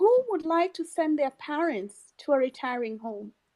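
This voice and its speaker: With a Kenyan accent, this dark, mellow voice moves at a moderate pace through very wide pitch swings, recorded dry and close with no echo. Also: woman. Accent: Kenyan accent, noticeable. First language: a Kenyan mother tongue. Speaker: pan-African activist. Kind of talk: online audio room discussion. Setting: online audio space.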